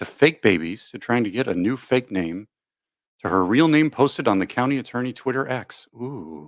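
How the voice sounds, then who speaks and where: A man's plain, everyday voice with lively intonation at a moderate pace, on a very clean recording with a silent background. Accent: American. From US Upper Midwest, Madison, Wisconsin. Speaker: YouTube live streamer. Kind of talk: casual live stream chat. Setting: live stream, chat reading. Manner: casual, rambling, thinking aloud.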